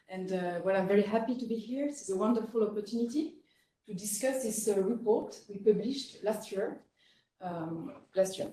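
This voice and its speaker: A woman speaks at a moderate pace with a French accent, her voice somewhat breathy. Her pitch sits fairly high, with a dark, mellow tone. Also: ordinary pitch variation. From France. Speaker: researcher, geographer. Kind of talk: conference presentation. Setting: conference session with audience.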